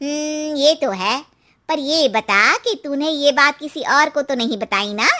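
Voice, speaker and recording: Using a cartoonish character voice, a woman speaks high-pitched at a moderate pace with lively intonation. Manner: knowing, cautionary.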